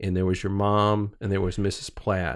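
Very deep, low male voice, very clean recording, totally silent background. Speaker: podcast host. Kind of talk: casual interview. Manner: halting, many fillers.

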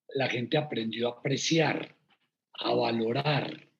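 A man speaks at a very slow pace. His somewhat breathy voice shows ordinary pitch variation. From Colombia, Medellín. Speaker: entrepreneur, restaurant co-founder. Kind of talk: interview.

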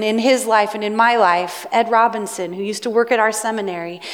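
Speaking in a Pacific Northwest accent, a woman uses a fairly high pitch and fairly even intonation at a fairly quick pace, over noticeable background noise. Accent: Pacific Northwest American. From US Pacific Northwest. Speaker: pastor. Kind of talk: sermon.

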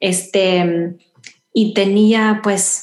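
A woman talks at a medium pitch, her delivery monotone with flat intonation. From Houston, Texas (Salvadoran family). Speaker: runner. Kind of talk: interview. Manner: halting.

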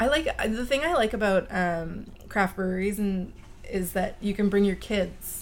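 With a Canadian accent, a woman talks at a moderate pace in a plain, everyday voice. Her pitch is medium, with ordinary variation and very even loudness. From Chilliwack, British Columbia, Canada. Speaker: wine YouTuber. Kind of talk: casual chat.

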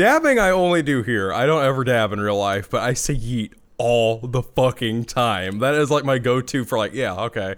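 On a very clean recording with a silent background, a man with an American accent uses a plain, everyday voice at a medium pitch, talking at a moderate pace with ordinary pitch variation and hardly any pauses. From small-town US. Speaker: podcast co-host. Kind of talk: casual chat.

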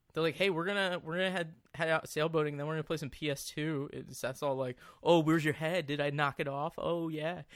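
A man's ordinary speaking voice with an American accent, fairly high in pitch with fairly even intonation, at a fairly quick pace in a very clean recording with a silent background. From New Jersey. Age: 30s. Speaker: podcast host. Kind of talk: casual chat.

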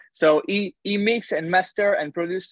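A man's voice is recorded dry and close, with no echo. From France, near Paris. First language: French. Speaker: musician. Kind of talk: interview. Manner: halting.

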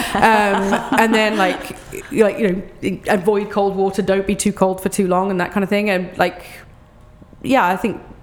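Against noticeable background noise, a woman with an English accent speaks at a medium pitch and moderate pace, her intonation monotone and flat, with long, frequent pauses. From England. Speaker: children's book writer and cold water plunger. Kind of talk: casual interview. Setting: outdoors at a park trailhead.

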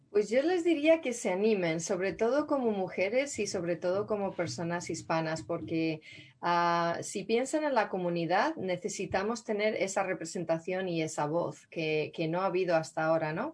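Speaking at a moderate pace with hardly any pauses, a woman has a normal speaking voice at medium pitch, lively intonation, and a quiet background. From Spain, Madrid. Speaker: city councilwoman. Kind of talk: interview.

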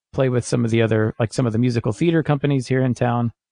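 The speaker is a man with an American accent. His pitch sits in the medium range. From Kansas City, US Midwest. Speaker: jazz trombonist and composer. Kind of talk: casual interview.

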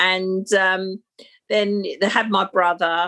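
A woman with a London accent, medium pitch, fairly even intonation and a bright, sharp tone. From London (Battersea, South London). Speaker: life and business coach. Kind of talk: casual chat.

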